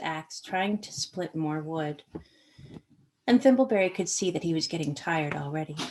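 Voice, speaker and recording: A woman with an American accent, lively intonation and a moderate pace, a plain, everyday voice. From Maine, US. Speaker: author and artist. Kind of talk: reading aloud.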